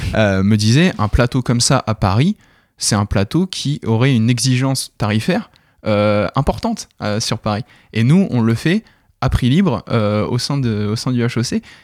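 Recorded very cleanly with a silent background and a dry, close sound free of echo, a man speaks slowly-ish at a medium pitch with ordinary pitch variation. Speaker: comedy show organizer. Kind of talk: radio interview. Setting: studio. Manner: energetic; hesitant, many fillers.

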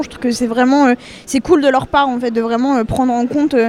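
A woman speaks at a very fast pace in a high, monotone voice with flat intonation. Noticeable background noise runs underneath. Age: young. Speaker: student association member. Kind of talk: interview. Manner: casual.

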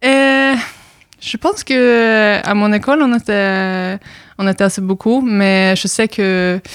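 A woman's voice in a Norwegian accent, very slow, at a medium pitch, with ordinary pitch variation and very even loudness. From Norway. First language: Norwegian (speaking French). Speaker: exchange student. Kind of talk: radio interview. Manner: halting.

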